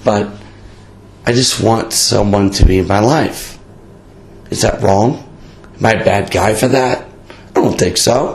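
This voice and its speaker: Over noticeable background noise, a man with a fairly low pitch speaks with long, frequent pauses. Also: ordinary pitch variation, fairly slow pace. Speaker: podcast host. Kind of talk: casual chat, beer talk. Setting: in-person with friends in a bar in Italy. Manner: casual, profane, talkative.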